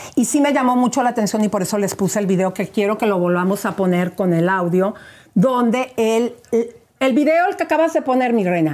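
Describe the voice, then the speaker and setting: A woman speaks at a fairly quick pace with a fairly high pitch and lively intonation. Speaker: gossip show host. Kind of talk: phone interview. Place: studio. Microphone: lapel.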